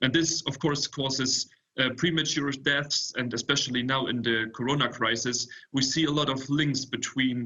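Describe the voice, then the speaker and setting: A man with an unremarkable speaking voice talks at a moderate pace, his medium pitch carried in fairly even intonation. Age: 20s. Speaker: startup founder. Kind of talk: panel presentation.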